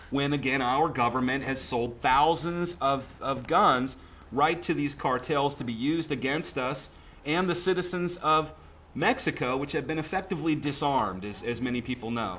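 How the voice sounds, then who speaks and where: A loud man with a fairly high pitch, a bright, sharp tone, ordinary pitch variation and a moderate pace. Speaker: political activist and radio host. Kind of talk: casual chat. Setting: studio.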